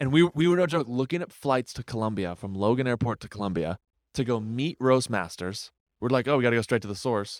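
A man with an American accent, medium pitch, lively intonation and a very fast pace, in a dry, close sound with no echo. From New Hampshire, US. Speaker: social media influencer and coffee entrepreneur. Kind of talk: casual chat. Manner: animated.

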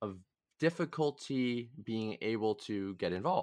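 In a normal speaking voice, a man with an American accent and a fairly low pitch talks with lively intonation, the sound dry and close with no echo on a very clean recording with a silent background. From Massachusetts. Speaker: podcast host, student political organizer. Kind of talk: casual political discussion.

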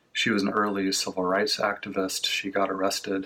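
A man speaks in a monotone, flat way at a moderate pace. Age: 40s. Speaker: congregation member. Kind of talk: sermon.

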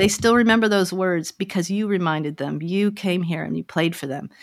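A woman with an American accent talks in a plain, everyday voice at a medium pitch. She moves at a fairly quick pace with ordinary pitch variation. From Colorado, US. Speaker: violinist and music teacher. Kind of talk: interview.

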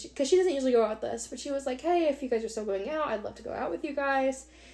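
A woman talks very fast in a dark, mellow tone with ordinary pitch variation. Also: hardly any pauses, big swings in loudness. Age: 20s. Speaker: podcast co-host. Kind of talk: casual chat.

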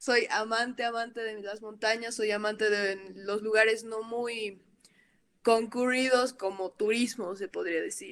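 At a fairly slow pace, a woman with an unremarkable speaking voice and fairly high pitch talks with fairly even intonation in a very clean recording with a silent background. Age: 20s. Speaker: photographer. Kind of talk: casual chat.

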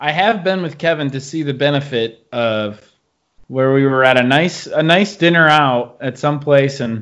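An ordinary speaking voice from a man with fairly high pitch, set against a quiet background. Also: ordinary pitch variation, moderate pace. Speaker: podcast host. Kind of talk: casual chat.

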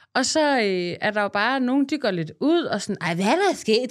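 A woman's pitch swings very widely at a moderate pace, in a very clean recording with a silent background. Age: 30s. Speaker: content creator. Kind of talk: casual chat.

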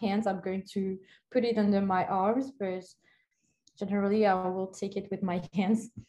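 The woman's delivery is monotone and flat. Her tone comes across dark and mellow. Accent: French. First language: French. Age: 20s. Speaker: university student. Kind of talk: casual chat. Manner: halting.

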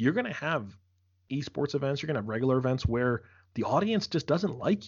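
With an American accent, a man uses an ordinary speaking voice, fairly high in pitch, with lively intonation. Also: fairly quick pace. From US Northeast, Philadelphia. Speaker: esports host and commentator. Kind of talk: casual interview.

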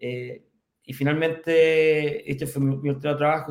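At a fairly slow pace, a man with a Chilean accent talks in a fairly high pitch. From Chile, Curicó. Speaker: fintech company executive. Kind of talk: interview. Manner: halting, many repetitions.

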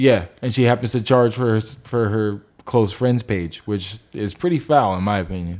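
A man with a fairly low pitch speaks at a moderate pace with ordinary pitch variation, hardly any pauses, and an unremarkable speaking voice. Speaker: podcast host. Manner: laid-back, joking.

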